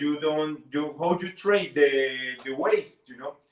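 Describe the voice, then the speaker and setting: This man has a fairly high-pitched voice and a Spanish accent. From Colombia. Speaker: bartender. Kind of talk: interview; tutorial. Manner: halting.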